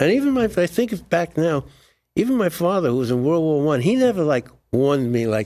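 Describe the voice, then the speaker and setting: This man speaks fast-ish in a New York accent, his fairly high voice making very wide pitch swings. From New York, Brooklyn. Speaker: Air Force veteran and author. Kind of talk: interview. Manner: halting, with frequent repetitions.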